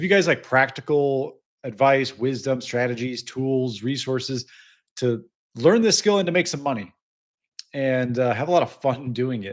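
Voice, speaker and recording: A man with an American accent, medium pitch and ordinary pitch variation at a moderate pace, on a very clean recording with a silent background. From US Midwest, Illinois. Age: 30s. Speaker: business coach, vibe-coding creator. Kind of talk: livestream talk. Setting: live stream. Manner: casual, many fillers.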